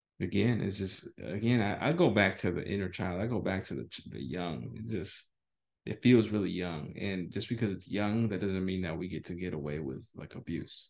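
Over a quiet background, a man with an American accent speaks at a very deep, low pitch with vocal fry and ordinary pitch variation. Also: moderate pace. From US, San Francisco Bay Area. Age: 30s. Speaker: podcast co-host. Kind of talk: casual chat.

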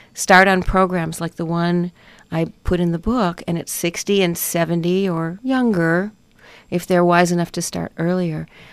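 An unremarkable speaking voice from a woman, fairly low in pitch and moderate in pace, on a very clean recording with a silent background. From Chicago, US Midwest. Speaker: doctor and author. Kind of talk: interview. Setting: radio studio.

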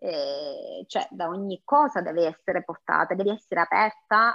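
With lively intonation, a woman speaks fairly slowly in an unremarkable speaking voice. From Sicily. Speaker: home cook and food blogger. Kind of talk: interview.

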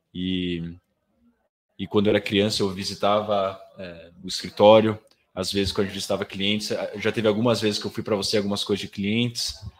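Fairly quick and monotone, with flat intonation, a man speaks at a fairly low pitch. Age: 20s. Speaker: professional swimmer. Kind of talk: casual chat. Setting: studio.

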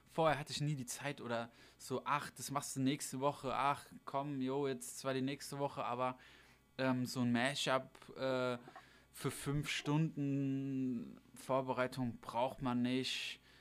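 The man speaks at a very slow pace. His intonation is flat and monotone. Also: medium pitch for a man. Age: 20s. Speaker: DJ and podcast co-host. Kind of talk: casual livestream chat. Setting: livestream on a streaming channel.

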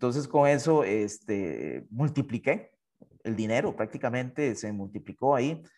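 A man's voice with vocal fry, at a fairly slow pace, on a very clean recording with a silent background. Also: medium pitch for a man, lively intonation. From Costa Rica. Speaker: university professor and election candidate. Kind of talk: interview.

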